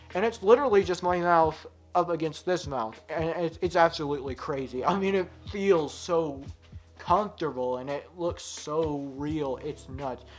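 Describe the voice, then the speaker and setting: Moderate pace with music in the background. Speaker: mask reviewer, video creator. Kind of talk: product review video. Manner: animated, enthusiastic.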